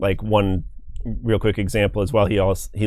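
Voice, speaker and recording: The man's pitch is fairly low and his intonation monotone and flat. He talks at a moderate pace. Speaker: tabletop game player. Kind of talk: casual interview.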